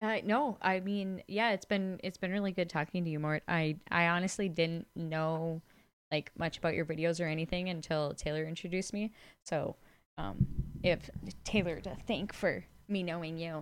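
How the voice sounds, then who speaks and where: Having an ordinary speaking voice, a woman talks at a moderate pace with fairly even intonation in a very clean recording with a silent background. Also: fairly low pitch for a woman. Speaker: podcast co-host. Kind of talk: casual chat.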